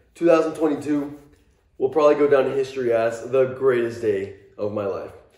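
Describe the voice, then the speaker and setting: A man at a fairly high pitch and moderate pace, with ordinary pitch variation and audible room echo. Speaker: football fan vlogger. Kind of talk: casual vlog review. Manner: low energy.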